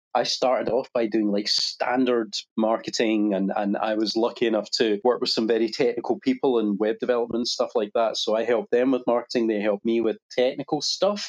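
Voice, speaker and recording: With a Scottish accent, the speaker moves at a fairly quick pace with hardly any pauses, very even loudness and ordinary pitch variation, in a dry, close sound with no echo. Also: man, medium pitch for a man. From Scotland. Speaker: digital media agency founder. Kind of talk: casual interview.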